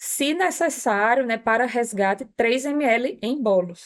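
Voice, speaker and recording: In a very clean recording with a silent background, a woman with an ordinary speaking voice talks at a fairly high pitch with ordinary pitch variation. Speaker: palliative care physician. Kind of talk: medical podcast discussion.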